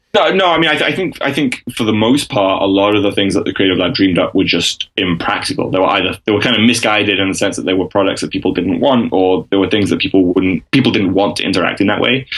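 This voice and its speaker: Very fast and with hardly any pauses, a man with an English accent speaks in a fairly low pitch with ordinary pitch variation. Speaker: freelance strategy consultant. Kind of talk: interview answer. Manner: hesitant, many fillers.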